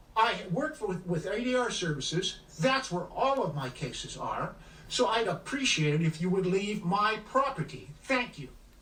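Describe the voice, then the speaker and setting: Over noticeable background noise and audible room echo, a man talks in a high voice at a moderate pace with very wide pitch swings. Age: 70s. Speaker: attorney and private judge. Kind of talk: confrontation. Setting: outdoors at his home.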